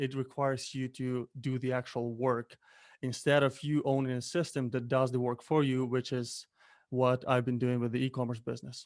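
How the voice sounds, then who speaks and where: A man with a Ukrainian accent, fairly quick and monotone with flat intonation, on a very clean recording with a silent background. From Ukraine. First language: Ukrainian or Russian. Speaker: Amazon seller, entrepreneur. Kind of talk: interview. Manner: halting.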